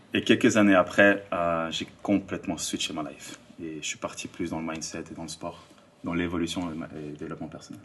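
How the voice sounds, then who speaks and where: A man talks at a fairly quick pace with a very deep, low pitch. His loudness swings widely while his intonation stays fairly even. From Switzerland, Lausanne area (Vaud). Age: 30s. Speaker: influencer and life coach. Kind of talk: podcast interview.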